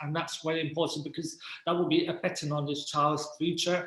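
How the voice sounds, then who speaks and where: A man talks at a high pitch with monotone, flat intonation. Noticeable background noise can be heard. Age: 20s. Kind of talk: casual interview chat. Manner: halting, many fillers.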